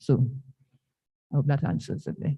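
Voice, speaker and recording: A woman with a dark, mellow, somewhat breathy tone speaks against a quiet background. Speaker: dentist. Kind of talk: health talk at church. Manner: fast.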